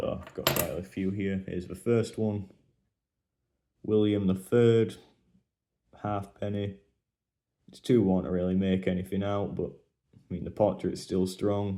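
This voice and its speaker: A man's fairly low-pitched voice with a dark, mellow tone, monotone, flat intonation, a fairly slow pace, long, frequent pauses and big swings in loudness. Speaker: coin collecting youtuber. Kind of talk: casual show-and-tell commentary.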